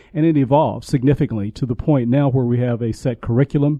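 A man rattles along at a very fast pace, his pitch medium and his intonation fairly even. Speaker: university program director. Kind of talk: radio interview. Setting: studio.

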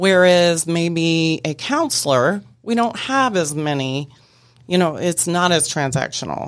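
A woman with an ordinary speaking voice talks at a fairly slow pace and a fairly low pitch, using lively intonation. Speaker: barter network business representative. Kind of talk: radio interview. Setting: studio.

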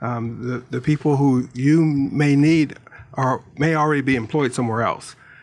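A man talks with an American accent in a plain, everyday voice. His pitch is fairly high, his intonation fairly even and his pace moderate. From Pittsburgh, US. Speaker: staffing branch manager. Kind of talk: casual radio interview.

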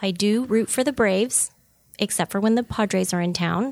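A woman with an American accent has a normal speaking voice, fairly high in pitch with lively intonation. The recording is very clean with a silent background. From Southern California, San Diego. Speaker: insurance agency owner. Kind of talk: interview. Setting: studio.

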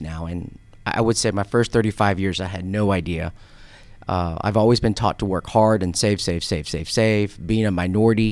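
In a very clean recording with a silent background, a man speaks in a plain, everyday voice, fairly low in pitch with ordinary pitch variation. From US (raised partly in Korea). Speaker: financial advisor. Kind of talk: radio interview. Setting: studio.

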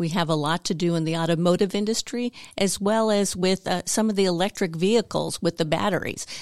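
With a normal speaking voice, a woman talks at a fairly quick pace and medium pitch, with hardly any pauses, fairly even intonation and very even loudness, in a very clean recording with a silent background and a dry, close sound with no echo. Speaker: site manager at a materials company. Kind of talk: casual radio interview. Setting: studio.

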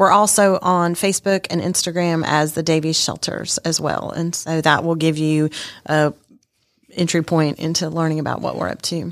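This woman has an American accent and a fairly low pitch. She talks at a moderate pace with monotone, flat intonation. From Texas and Germany (army family). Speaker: homeless shelter director. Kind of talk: radio interview. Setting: studio.

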